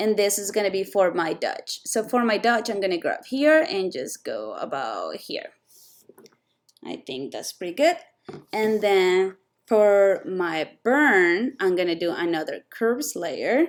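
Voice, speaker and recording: A woman speaks at a very slow pace with a strong non-native accent. Her medium pitch swings very widely. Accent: thick non-native. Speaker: photo retoucher. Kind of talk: tutorial. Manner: hesitant, many fillers.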